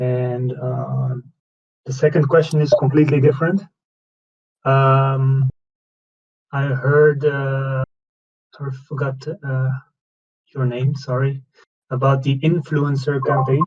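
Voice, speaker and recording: A man with a non-native accent speaks very slowly, leaving long, frequent pauses. His voice is medium in pitch, somewhat breathy, and monotone with flat intonation. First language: not English. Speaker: community member asking questions. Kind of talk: question on community call. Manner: halting.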